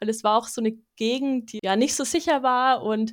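A woman with a plain, everyday voice, fairly even intonation and a moderate pace. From Bavaria, Munich. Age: 20s. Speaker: wildlife ecologist. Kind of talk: casual interview.

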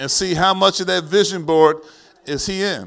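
Animated in tone, a man speaks with an American accent at a high pitch. His pitch moves in an ordinary way. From US Northeast, East Orange, New Jersey. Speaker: pastor. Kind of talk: sermon. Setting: church.

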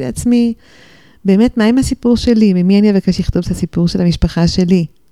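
A woman speaks at a medium pitch with a dark, mellow tone and ordinary pitch variation. The sound is dry and close, with no echo. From Jerusalem and New York, alternating. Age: 60s. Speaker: novelist and former journalist. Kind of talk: interview. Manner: hesitant, frequent fillers.

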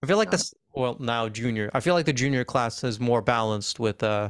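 On a very clean recording with a silent background, a man speaks in a normal speaking voice at a medium pitch, with ordinary pitch variation and a fairly quick pace. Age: 20s. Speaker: student podcast host. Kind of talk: casual interview.

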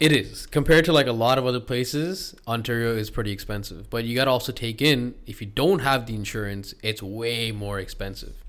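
Talking at a fairly quick pace with hardly any pauses, a man with a Canadian accent uses an ordinary speaking voice with ordinary pitch variation. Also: medium pitch for a man, very clean recording, silent background. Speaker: podcast host. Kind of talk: casual podcast interview.

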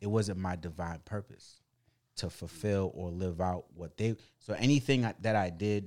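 In a very clean recording with a silent background, a man with a fairly low pitch talks at a fairly quick pace with ordinary pitch variation. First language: not English. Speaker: podcast co-host, real estate professional. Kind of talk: casual chat. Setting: studio.

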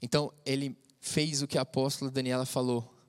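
The recording is very clean and the background silent. This man holds a medium pitch and a moderate pace. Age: 30s. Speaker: youth preacher. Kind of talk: sermon; casual testimony. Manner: casual, halting.

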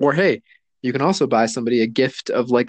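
This man has a normal speaking voice at medium pitch. He talks at a fairly quick pace. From US Southwest, Mexican-American. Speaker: podcast co-host. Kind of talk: casual chat. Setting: remote recording from home.

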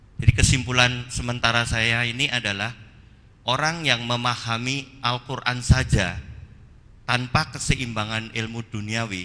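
The man's tone is bright and sharp, with a medium pitch. He speaks at a fairly slow pace. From Minangkabau, West Sumatra. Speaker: audience member asking question. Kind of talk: audience question. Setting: mosque.

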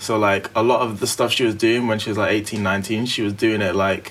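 Flat, monotone delivery from a man with a British accent, fairly low in pitch, at a moderate pace over noticeable background noise. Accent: British urban.

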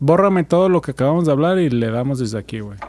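A man speaks at a fairly quick pace with a fairly high pitch, a dark, mellow tone, and lively intonation. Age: 30s. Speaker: podcast co-host. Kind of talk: casual chat.

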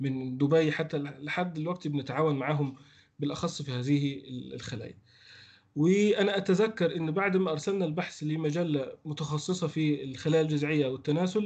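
A man at a fairly high pitch and a moderate pace. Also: ordinary pitch variation. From Egypt. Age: 30s. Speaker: veterinary researcher. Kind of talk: interview.

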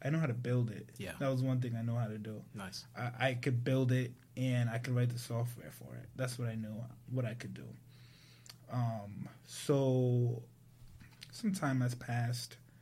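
In an American accent, the speaker keeps a moderate pace and fairly even intonation amid audible room echo. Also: man, medium pitch for a man. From US Northeast, Providence, Rhode Island. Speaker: tech entrepreneur. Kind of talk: casual interview chat.

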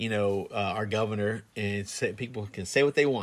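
This man's voice sits fairly low in pitch and moves at a moderate pace. The recording is very clean, with a silent background. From Florida, Plant City area. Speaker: podcast co-host. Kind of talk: casual chat. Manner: halting, many fillers.

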